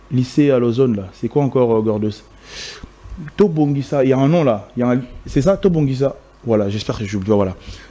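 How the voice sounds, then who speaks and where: A man with a Congolese accent talks at a fairly quick pace with lively intonation over noticeable background noise. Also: medium pitch for a man. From DR Congo, Kinshasa. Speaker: event host and emcee. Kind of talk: interview. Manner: hesitant.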